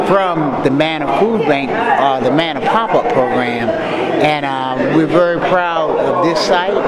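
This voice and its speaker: Crowd noise fills the background as a man speaks. His pace is fairly slow, with ordinary pitch variation. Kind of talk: interview answer. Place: hall. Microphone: handheld.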